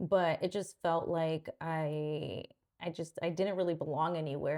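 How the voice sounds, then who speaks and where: Here a woman speaks with a dark, mellow tone. Her pitch is fairly low. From Mexico, then San Jose area, California. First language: Spanish. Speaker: podcast co-host. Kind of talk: casual chat.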